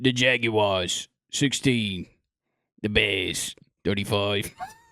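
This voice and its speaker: A man puts on a character voice that is raspy and fairly low-pitched. He speaks at a very slow pace. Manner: funny exaggerated voice.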